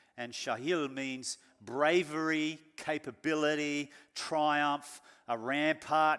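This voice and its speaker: A man with an Australian accent, fairly high pitch and a bright, sharp tone, on a very clean recording with a silent background. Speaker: pastor. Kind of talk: sermon.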